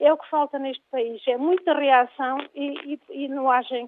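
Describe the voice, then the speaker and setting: Her pace stays moderate. The woman's voice is high-pitched. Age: 60s. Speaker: caller. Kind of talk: radio call-in.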